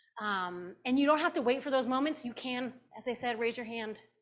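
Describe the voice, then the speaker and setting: At a moderate pace, a woman speaks with a normal speaking voice and ordinary pitch variation. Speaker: pastor teaching a class. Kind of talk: lecture. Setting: classroom with Zoom participants.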